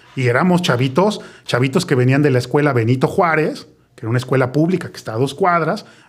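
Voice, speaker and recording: A man talks at a very fast pace. His voice is fairly high and somewhat breathy. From Mexico City (Colonia Roma). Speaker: podcast host. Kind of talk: casual chat.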